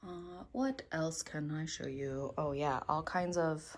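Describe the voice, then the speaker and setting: A woman with a very deep, low pitch speaks at a very slow pace. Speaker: fiber artist and illustrator. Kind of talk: casual studio tour vlog. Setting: home studio. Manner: hesitant, many fillers; whispering.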